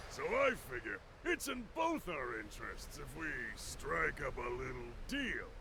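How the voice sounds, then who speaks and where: Someone performs a put-on character voice at a moderate pace, with clear background noise behind it. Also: man. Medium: video game. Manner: folksy, wheedling salesman.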